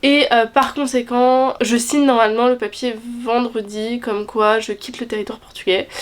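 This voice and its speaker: A woman talks with high pitch at a moderate pace. Her intonation is monotone and flat. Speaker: student vlogger. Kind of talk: casual vlog talk to camera.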